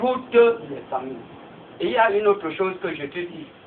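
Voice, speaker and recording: Noticeable background noise is present. A man talks fairly slowly over it. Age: 60s. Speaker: village chief. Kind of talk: public meeting address.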